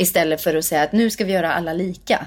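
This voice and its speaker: In a very clean recording with a silent background, a woman speaks at a medium pitch in a normal speaking voice with ordinary pitch variation. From Sweden, Värmdö near Stockholm. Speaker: singer and actress. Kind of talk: interview conversation.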